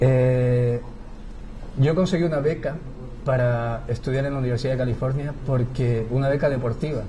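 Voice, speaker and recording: Against noticeable background noise and audible room echo, a man at medium pitch talks at a moderate pace with fairly even intonation. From Chile. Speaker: theatre director. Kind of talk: interview. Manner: hesitant, many fillers.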